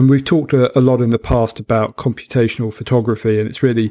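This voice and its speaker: On a very clean recording with a silent background and a dry, close sound with no echo, a man with a British accent speaks fairly quickly at medium pitch, his intonation monotone and flat and his tone dark and mellow. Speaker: podcast host. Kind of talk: casual chat.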